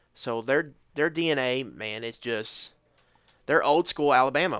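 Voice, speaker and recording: A man at a fairly quick pace and medium pitch, an unremarkable speaking voice in a very clean recording with a silent background. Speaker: football podcast host. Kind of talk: casual chat.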